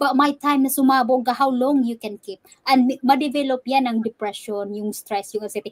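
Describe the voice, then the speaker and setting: A woman with a high-pitched voice talks at a fairly quick pace, her intonation fairly even, in a dry, close sound with no echo. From Philippines, Cebu. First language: Cebuano. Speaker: digital business owner and fitness coach. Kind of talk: interview on a live stream, English mixed with Tagalog. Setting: live stream.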